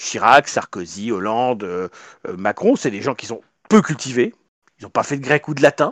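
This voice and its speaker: The recording is very clean, dry and close, with no echo and a silent background. Delivery runs at a moderate pace with lively intonation, big swings in loudness and long, frequent pauses. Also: man, medium pitch for a man. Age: 40s. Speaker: political party leader. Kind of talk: interview.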